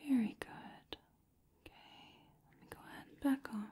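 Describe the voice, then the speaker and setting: Whispered female speech. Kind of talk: roleplay, soft-spoken exam narration. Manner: soft-spoken, gentle, close ASMR voice. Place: home room.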